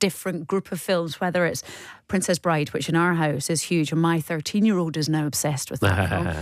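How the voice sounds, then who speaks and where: Fairly low in pitch, a woman with an unremarkable speaking voice talks at a fairly quick pace on a very clean recording with a silent background. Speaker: radio presenter. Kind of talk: radio interview questions.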